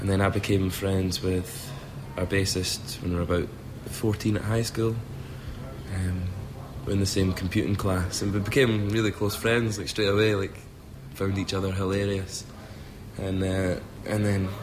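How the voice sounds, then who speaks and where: A man with a Scottish accent speaks at a moderate pace in a fairly low voice with fairly even intonation, leaving long, frequent pauses, with audible room echo and noticeable background noise. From Scotland. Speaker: rock singer and guitarist. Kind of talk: interview.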